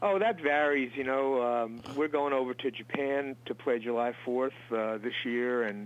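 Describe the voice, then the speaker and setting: With an American accent, a man speaks in a plain, everyday voice at a fairly slow pace, hardly pausing, his medium pitch showing ordinary variation and his loudness very even. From Long Island, New York. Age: 60s. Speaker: musician. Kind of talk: interview. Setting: studio.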